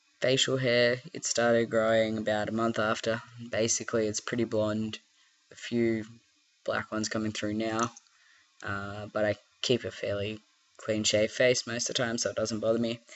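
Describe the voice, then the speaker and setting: A man talks at a moderate pace in an Australian accent, his intonation monotone and flat. He leaves long, frequent pauses. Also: medium pitch for a man. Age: 20s. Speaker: vlogger. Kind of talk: casual vlog. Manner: hesitant, many fillers.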